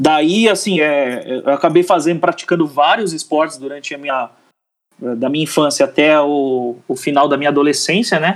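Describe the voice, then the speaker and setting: With ordinary pitch variation and a fairly high pitch, a man talks at a moderate pace. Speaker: athlete and advertising professional. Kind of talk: podcast interview. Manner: halting, many repeated words.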